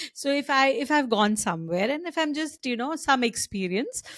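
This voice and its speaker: A woman with an unremarkable speaking voice talks at a moderate pace with lively intonation. The recording is very clean and dry, close with no echo, over a silent background. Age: 50s. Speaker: podcast host. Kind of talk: casual chat.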